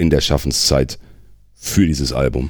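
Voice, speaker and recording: Noticeable background noise sits behind a man with a very deep, low pitch. He talks at a fairly quick pace with fairly even intonation. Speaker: metal singer. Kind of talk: casual chat.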